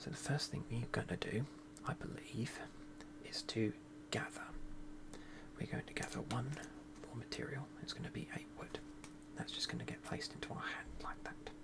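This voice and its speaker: Someone whispers at a moderate pace, with long, frequent pauses and noticeable background noise. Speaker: board game video creator. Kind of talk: tutorial. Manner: soft-spoken.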